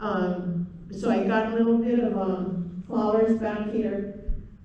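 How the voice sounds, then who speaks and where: Against noticeable background noise and audible room echo, a woman speaks at a fairly high pitch with monotone, flat intonation. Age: 60s. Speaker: traditional beadwork teacher. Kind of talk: presentation. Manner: hesitant.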